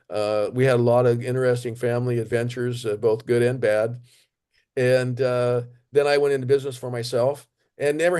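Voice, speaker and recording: A man speaks at a medium pitch and a fairly quick pace, his tone dark and mellow. His intonation stays fairly even against a quiet background. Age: 70s. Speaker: retired tradesman and travel blogger. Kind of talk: interview. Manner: halting with many fillers.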